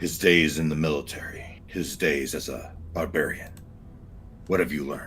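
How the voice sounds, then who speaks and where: Someone uses a put-on character voice at a moderate pace. Background noise is clearly audible. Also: man, very deep, low pitch for a man. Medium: actual play. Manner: gruff, blunt.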